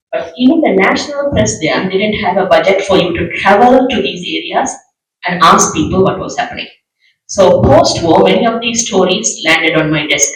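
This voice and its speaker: A man's high-pitched voice at a fairly quick pace, with very wide pitch swings and audible room echo. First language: Tamil. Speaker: journalist. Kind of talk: panel discussion.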